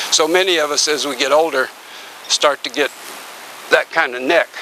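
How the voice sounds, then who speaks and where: Ordinary pitch variation in a man's speech, noticeable noise behind it. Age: 70s. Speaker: tai chi and qigong instructor. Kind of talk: instructional workshop. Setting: outdoors in a back yard. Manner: calm, paced guidance.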